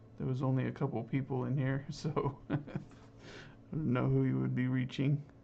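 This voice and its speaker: A man speaks at a moderate pace with long, frequent pauses, keeping his loudness very even. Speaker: painter streaming live. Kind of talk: live stream chat while painting. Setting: live stream.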